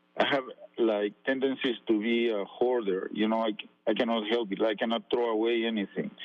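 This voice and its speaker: A man speaks fairly quickly in a medium-pitched, monotone voice with flat intonation. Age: 70s. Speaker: caller. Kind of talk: casual chat. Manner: halting.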